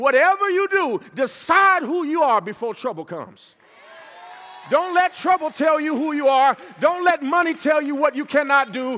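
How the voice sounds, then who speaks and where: Over noticeable background noise, a man speaks in an animated tone with a raised, projected voice at an extremely high pitch and ordinary pitch variation. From US Midwest (Gary, Indiana). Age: 30s. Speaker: pastor and motivational speaker. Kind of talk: motivational speech. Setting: stage with audience.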